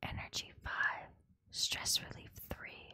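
Whispering at a very slow pace comes through over music in the background. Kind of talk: ASMR reading of game item descriptions. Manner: soft, quiet ASMR delivery.

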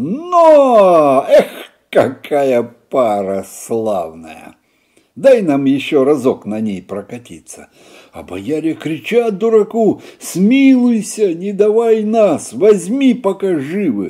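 Speaking at a very slow pace, a man's voice swings widely in loudness over a quiet background. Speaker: storyteller. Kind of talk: reading a folk tale aloud. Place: home room.

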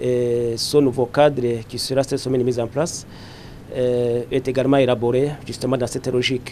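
Light background noise behind a man's monotone, flat delivery at a moderate pace. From Burundi. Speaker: politician. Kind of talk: press statement. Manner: formal; hesitant with fillers. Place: hall. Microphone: handheld.

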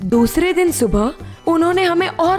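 Music plays behind a woman's voice. Her pitch swings very widely. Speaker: voice over artist. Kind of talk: children's story narration. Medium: read story.

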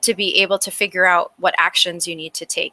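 Bright, sharp-toned woman with an American accent at a moderate pace. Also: dry, close sound with no echo. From New York City (Brooklyn). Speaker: climate nonprofit director. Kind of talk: panel discussion.

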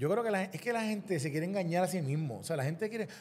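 Somewhat breathy, a man speaks with a Puerto Rican accent. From Puerto Rico. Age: young. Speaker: lawyer and former government official; lawyer. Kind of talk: political interview. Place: studio. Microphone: studio mic.

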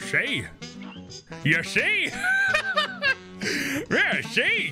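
A man performs a put-on character voice over clear music in the background. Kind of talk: gangster slang. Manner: gloating, scheming.

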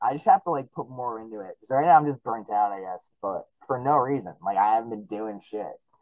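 Talking at a very fast pace, a man shows big swings in loudness and ordinary pitch variation, with a dry sound, no echo and a quiet background. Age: 20s. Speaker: musician; podcast guest. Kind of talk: casual chat. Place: home room. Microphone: studio mic.

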